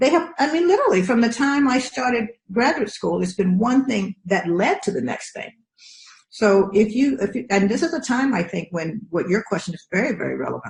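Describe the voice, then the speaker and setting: Her fairly high voice moves quickly, with very wide pitch swings as the woman talks at a fairly quick pace. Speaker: professor. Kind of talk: interview. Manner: fast; animated.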